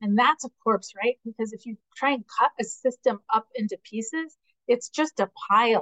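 Delivered at a moderate pace, a plain, everyday voice shows ordinary pitch variation and big swings in loudness. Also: woman, fairly high pitch for a woman. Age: 50s. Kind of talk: interview conversation.

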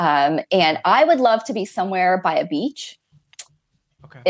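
In a plain, everyday voice, a woman with an American accent speaks at a moderate pace with a medium pitch and lively intonation. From Florida. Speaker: coaching company representative. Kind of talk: interview.

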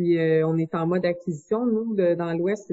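A woman's medium-pitched voice with fairly even intonation and a moderate pace, against noticeable background noise. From Quebec, Bois-Francs region. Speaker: business founder. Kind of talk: interview.

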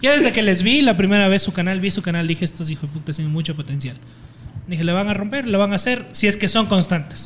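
A very fast pace and lively intonation against noticeable background noise. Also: man, high pitch for a man. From Ecuador, Puyo (Amazon region). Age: 20s. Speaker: video editor and content creator. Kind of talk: casual chat. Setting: in a pub.

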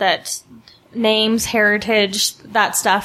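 This woman's voice sits fairly high in pitch and has a bright, sharp tone. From Utah, West Valley. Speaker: panelist, feminist commentator. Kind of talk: panel discussion. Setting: studio with live audience.

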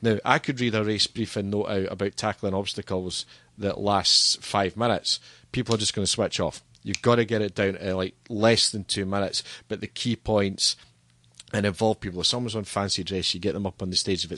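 Speaking with a Scottish accent, a man uses fairly low pitch, monotone, flat intonation, and a bright, sharp tone at a fairly quick pace. The sound is dry and close with no echo, against a quiet background. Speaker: stadium PA announcer and entertainment business owner. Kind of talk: casual interview. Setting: studio.

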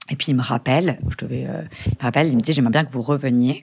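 A woman speaks at a fairly quick pace with a very deep, low pitch. Her voice shows vocal fry and ordinary pitch variation. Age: 30s. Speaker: lawyer and young mother who lost her twin. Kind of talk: personal testimony in interview. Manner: halting with repetitions and fillers.

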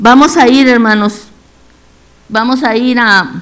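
Delivery is very slow. Intonation barely rises or falls. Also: woman. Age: 70s. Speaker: lay preacher. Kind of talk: devotional sermon.

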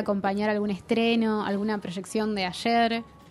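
A woman with an Argentine accent, fairly high in pitch, monotone and flat in intonation, at a moderate pace. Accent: Argentine Spanish (Rioplatense). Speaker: podcast host, film critic. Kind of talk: interview.

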